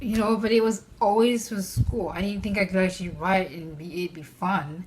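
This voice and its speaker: A woman with a non-native accent speaks at a moderate pace and medium pitch, with ordinary pitch variation, big swings in loudness and noticeable background noise. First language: not English. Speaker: mental health vlogger. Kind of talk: personal vlog talk. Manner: hesitant, with fillers.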